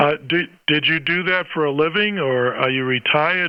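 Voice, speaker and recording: A man's fairly high voice, an unremarkable speaking voice, at a moderate pace with ordinary pitch variation. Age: 60s. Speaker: ham radio operator, retired band teacher. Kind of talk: ham radio conversation. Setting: amateur radio transmission.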